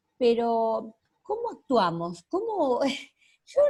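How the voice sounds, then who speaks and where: This woman speaks with a high pitch. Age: 60s. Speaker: audience member asking questions. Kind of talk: question to a speaker. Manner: halting.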